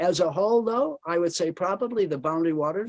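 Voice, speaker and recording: A very fast pace with ordinary pitch variation, in a dry, close sound with no echo. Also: man. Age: 80s+. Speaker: outdoor author and canoe guide. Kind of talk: presentation. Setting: video call. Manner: halting with fillers.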